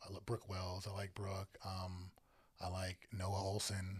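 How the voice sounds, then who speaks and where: This man has a very deep, low pitch and an American accent. His voice is somewhat breathy. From Northern Virginia. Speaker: photographer and content creator. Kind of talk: casual interview chat.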